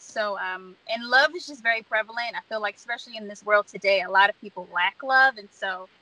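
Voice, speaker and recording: Fairly quick and fairly high in pitch, a woman's voice shows ordinary pitch variation in a dry sound with no echo. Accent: East Coast US. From Baltimore, Maryland. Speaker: singer and songwriter; guest. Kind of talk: interview. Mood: warm, smiling. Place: car. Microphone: video call.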